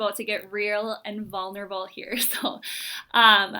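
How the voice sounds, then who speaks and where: A woman speaks at a fairly slow pace in a bright, sharp tone with a fairly high pitch. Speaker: podcast co-host, education services staff. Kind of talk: casual podcast chat. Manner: quiet voice; nervous, fumbling over words.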